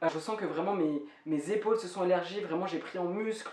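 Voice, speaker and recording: A woman's fairly low voice, with audible room echo and noticeable background noise. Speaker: vlogger. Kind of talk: personal vlog update. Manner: fast.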